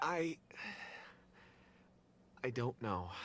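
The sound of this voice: Using a put-on character voice, a man speaks at a very slow pace and medium pitch with big pitch swings and a fairly bright tone.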